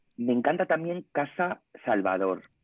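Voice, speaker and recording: Keeping a moderate speed, a man talks in a normal speaking voice with ordinary pitch variation. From Spain, Ponferrada (León). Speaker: food blogger. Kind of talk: casual chat.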